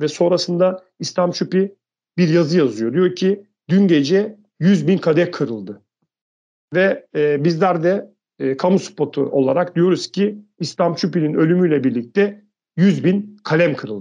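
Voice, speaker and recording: A man's high-pitched voice with a dark, mellow tone, ordinary pitch variation and a fairly slow pace. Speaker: podcast co-host. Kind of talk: casual discussion.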